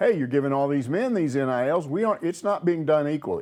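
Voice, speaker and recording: In an American accent, a man talks at a fairly quick pace with a fairly high pitch and very wide pitch swings. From outside Arkansas, US. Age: 70s. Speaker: sports commentator. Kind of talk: casual chat. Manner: animated.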